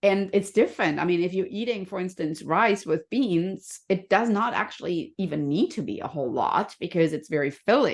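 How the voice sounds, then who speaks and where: A woman with a slight German accent, lively intonation and hardly any pauses, against a quiet background. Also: medium pitch for a woman, moderate pace. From Germany. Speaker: health and happiness coach. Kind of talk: podcast interview.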